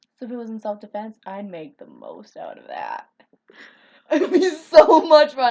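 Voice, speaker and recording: In a slight Minnesota accent, a woman speaks in an animated tone. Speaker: video blogger. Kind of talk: casual chat.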